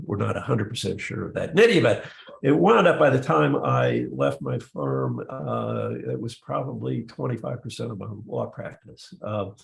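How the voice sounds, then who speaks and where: Against noticeable background noise, the voice moves at a moderate pace. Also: man. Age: 70s. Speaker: retired lawyer. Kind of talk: casual talk in a virtual meeting. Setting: video call. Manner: halting, many fillers.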